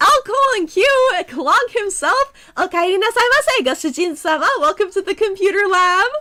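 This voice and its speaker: This woman's voice sits extremely high and swings very widely in pitch, holding a very even loudness at a moderate pace. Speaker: VTuber streamer teaching coding. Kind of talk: casual chat with viewers; tutorial. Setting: live stream. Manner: casual, filler-heavy.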